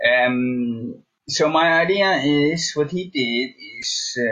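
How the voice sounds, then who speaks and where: A man with a Dutch accent. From Netherlands. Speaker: guest. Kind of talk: casual chat.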